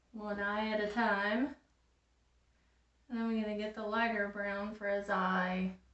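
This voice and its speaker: A woman speaks in a flat monotone with long, frequent pauses, and there is noticeable background noise. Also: medium pitch for a woman, fairly slow pace. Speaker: crafts tutorial creator. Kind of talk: craft tutorial. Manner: casual.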